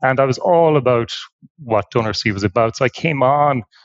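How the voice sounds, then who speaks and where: Here a man speaks in an Irish accent. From Ireland. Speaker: nonprofit tech executive. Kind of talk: podcast interview. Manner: halting, many fillers and repeats.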